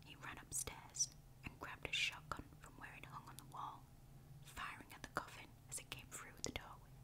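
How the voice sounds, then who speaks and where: This woman is whispering, and noticeable background noise can be heard. Her pace is moderate. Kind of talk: campfire ghost story narration.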